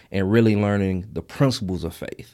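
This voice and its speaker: Recorded very cleanly over a silent background, a man speaks at a moderate pace. His pitch is fairly low, with ordinary variation. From Mississippi Delta. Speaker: podcaster. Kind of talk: interview.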